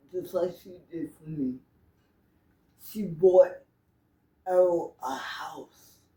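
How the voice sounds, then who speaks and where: This woman's voice is fairly low, with a dark, mellow tone and ordinary pitch variation. She speaks very slowly, with long, frequent pauses and big swings in loudness. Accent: New York. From New York. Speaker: interviewee. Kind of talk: interview.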